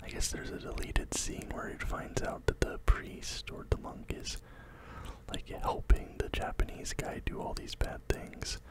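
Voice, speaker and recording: Someone soft-spoken is whispering at a moderate pace. The sound is dry with no echo, but the background noise is loud. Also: man. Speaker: film reviewer. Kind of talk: casual movie recap commentary. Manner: soft close-mic whisper. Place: home room. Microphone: studio mic.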